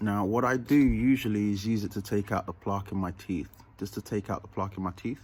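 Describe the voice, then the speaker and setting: The voice moves at a moderate pace. Its pitch varies in an ordinary way. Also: man. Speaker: vlogger. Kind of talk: casual vlog tutorial. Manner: slightly altered speech from dental bridge.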